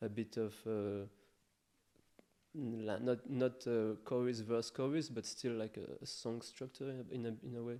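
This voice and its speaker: Here a man speaks at a medium pitch. His pace is fairly slow and his intonation fairly even. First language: not English. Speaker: electronic music producer. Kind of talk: interview. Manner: halting.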